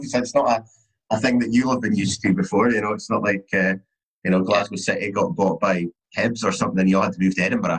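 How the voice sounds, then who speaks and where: A man's fairly low voice at a very fast pace, with very even loudness throughout. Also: ordinary pitch variation. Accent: Scottish. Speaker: podcast host. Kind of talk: casual chat.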